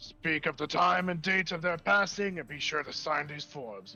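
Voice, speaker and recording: A man does a put-on character voice that is raspy and gruff, pitched fairly high. He keeps a moderate pace with big swings in loudness. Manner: gruff, businesslike.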